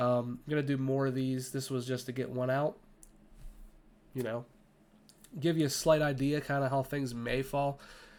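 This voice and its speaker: A man at medium pitch and moderate pace, monotone and flat, with long, frequent pauses. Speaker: football draft commentator. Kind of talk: casual commentary video. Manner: casual, filler-heavy.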